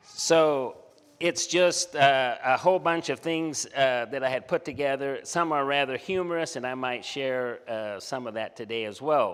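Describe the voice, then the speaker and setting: Delivery is fairly slow. The pitch varies by an ordinary amount. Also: man, fairly high pitch for a man. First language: German. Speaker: missionary and development worker. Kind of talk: conference presentation.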